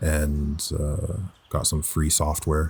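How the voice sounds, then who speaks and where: Very deep and low in pitch, a man's somewhat breathy voice stays monotone, with flat intonation. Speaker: voice actor. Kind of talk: personal reflective talk. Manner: reflective, conversational.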